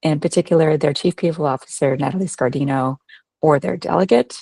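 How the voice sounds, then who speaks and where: Speaking at a fairly quick pace with ordinary pitch variation, a woman with a very deep, low voice comes through in a dry, close sound with no echo. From Canada. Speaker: HR professional. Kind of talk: presentation. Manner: hesitant with frequent fillers.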